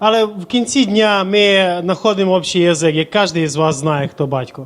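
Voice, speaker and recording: At a fairly quick pace, a man with a high pitch talks in a Transcarpathian accent. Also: ordinary pitch variation. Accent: Transcarpathian Ukrainian. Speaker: church interpreter. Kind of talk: consecutive sermon interpretation.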